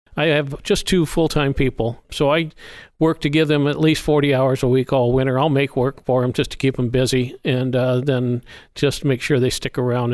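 On a very clean recording with a silent background, a man speaks in a plain, everyday voice with an American accent. His medium pitch and fairly even intonation hold a moderate pace. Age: 60s. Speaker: almond grower. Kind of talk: casual interview conversation.

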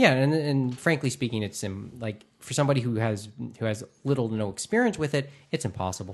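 A man with a Canadian accent at a very fast pace, medium pitch and ordinary pitch variation, against a quiet background. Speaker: podcast host. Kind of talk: casual chat. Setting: studio.

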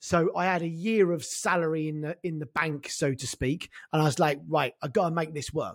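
In a London accent, a man speaks at a moderate pace with fairly even intonation and hardly any pauses. His pitch is fairly high. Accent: English, London-area. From North London, England. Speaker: e-commerce consultant. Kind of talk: casual interview chat.

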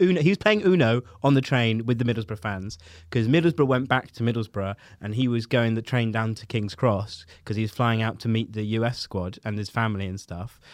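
On a very clean recording with a silent background, a man talks at a fairly quick pace. He has an unremarkable speaking voice with medium pitch and ordinary pitch variation. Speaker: comedian. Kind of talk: casual chat.

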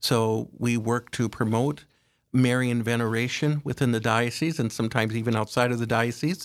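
An ordinary speaking voice with an American accent delivers the words at a moderate pace with fairly even intonation. The recording is very clean, with a silent background. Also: man. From South Dakota, US Midwest. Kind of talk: religious radio interview. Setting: studio.

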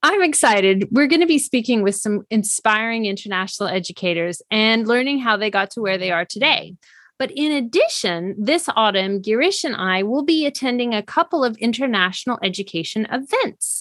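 A woman with a plain, everyday voice speaks with hardly any pauses. Her pitch is fairly high and her intonation lively. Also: fairly quick pace. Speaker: podcast co-host. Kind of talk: casual interview.

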